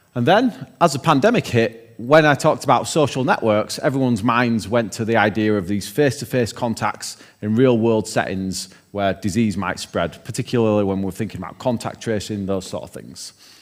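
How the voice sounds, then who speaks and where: A man's medium-pitched voice in a Yorkshire accent, fairly quick and with hardly any pauses. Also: ordinary pitch variation. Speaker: keynote speaker, researcher. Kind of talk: lecture. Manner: casual, with frequent fillers.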